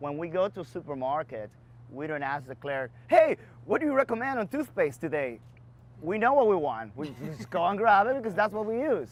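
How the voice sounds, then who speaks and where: The pitch leaps very widely and the loudness swings hard. It comes at a fairly quick pace with a Dominican accent. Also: man, high pitch for a man. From Dominican Republic. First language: Spanish. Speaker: bar and beverage entrepreneur. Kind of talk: interview Q&A.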